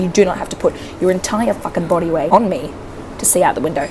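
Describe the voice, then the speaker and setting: A woman rushes along at a very fast pace while noticeable background noise fills the recording. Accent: Australian. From Australia. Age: 20s. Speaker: travel vlogger. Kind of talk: casual storytelling to camera. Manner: animated, expressive.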